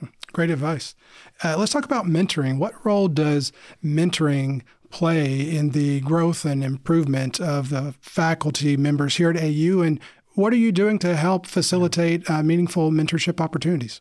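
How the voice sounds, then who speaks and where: A man with a normal speaking voice, fairly high-pitched, at a moderate pace with ordinary pitch variation. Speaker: podcast host. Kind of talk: scripted intro with casual interview.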